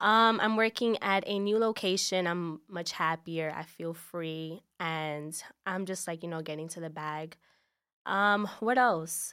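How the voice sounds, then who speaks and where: A woman's fairly low, bright, sharp voice in a New York accent, fairly slow, in a very clean recording with a silent background. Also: ordinary pitch variation. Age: 20s. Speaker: podcast guest. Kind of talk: casual chat.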